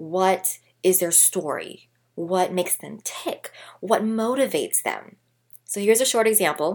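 In a very clean recording with a silent background, a woman talks at a fairly slow pace in an unremarkable speaking voice. Her medium pitch shows ordinary pitch variation, and her loudness swings widely. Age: 30s. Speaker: podcast host and people skills coach. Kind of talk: solo podcast monologue.

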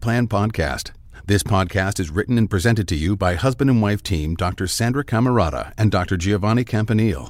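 A man with an unremarkable speaking voice talks at a fairly quick pace and a fairly low pitch, with lively intonation and hardly any pauses. The recording is very clean, with a silent background. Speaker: podcast announcer. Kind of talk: scripted narration.

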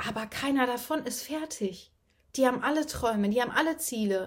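Somewhat breathy female voice with lively intonation at a moderate pace, in a very clean recording with a silent background. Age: 30s. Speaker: online business coach. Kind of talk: solo podcast monologue. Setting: recording early morning. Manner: casual, chatty.

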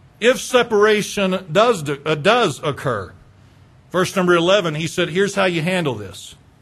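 The man's voice is high, with lively intonation and a fairly slow pace. Room echo can be heard. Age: 40s. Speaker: pastor. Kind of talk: sermon.

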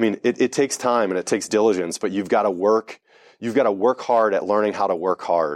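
A man's unremarkable speaking voice with an American accent, fairly low in pitch, with ordinary pitch variation and a fairly quick pace, in a dry, close recording with no echo. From US, Delaware. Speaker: sales and marketing executive. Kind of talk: talk to a live audience. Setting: event breakfast with audience.

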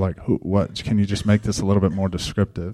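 With a dark, mellow tone, a man speaks at a fairly low pitch in a monotone, flat intonation. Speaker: youth basketball coach. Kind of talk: casual talk with faith reflection. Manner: soft-spoken.

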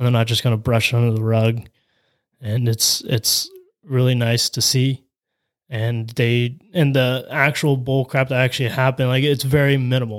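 A man speaks in a Midwestern American accent at medium pitch and a moderate pace, with monotone, flat intonation. His loudness stays very even, and the recording is very clean with a silent background. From Ohio, US Midwest. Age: 20s. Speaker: construction estimator. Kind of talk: casual interview.

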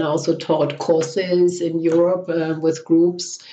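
A woman with a German accent talks at a fairly slow pace over noticeable background noise. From Germany. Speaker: riding coach. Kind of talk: interview.

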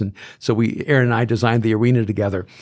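Over a very clean recording with a silent background, a man speaks at a very fast pace with monotone, flat intonation. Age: 60s. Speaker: business owner. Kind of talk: interview.

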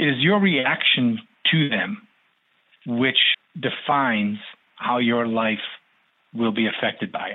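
At a fairly slow pace, a man with an unremarkable speaking voice and medium pitch talks with lively intonation. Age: 40s. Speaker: painter and cancer survivor. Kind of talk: casual interview.

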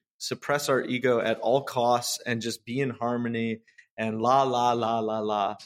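A man with a plain, everyday voice at a medium pitch and a fairly slow pace. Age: 30s. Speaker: meditation studio co-founder. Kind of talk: casual chat.

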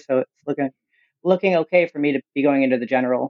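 A man's fairly high-pitched voice at a very fast pace, with an American accent. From western Pennsylvania. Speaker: state senate candidate. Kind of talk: interview. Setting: video call.

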